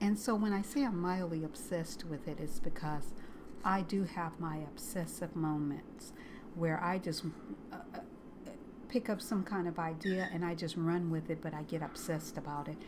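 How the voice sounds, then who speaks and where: Audible room echo hangs around the voice. The speech unfolds at a moderate pace. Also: woman, fairly low pitch for a woman, ordinary pitch variation. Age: 60s. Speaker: crochet video creator. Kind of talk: casual personal vlog. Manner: halting, with many fillers.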